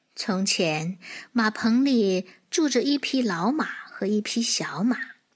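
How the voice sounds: The reading sounds natural, and the intonation rises and falls in a lively way.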